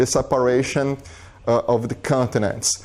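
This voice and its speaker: Fairly slow, fairly even delivery in a strong Brazilian accent. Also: man. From southern Brazil. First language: Portuguese. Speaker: biologist, visiting scholar. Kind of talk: lecture. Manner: halting, many fillers and repetitions.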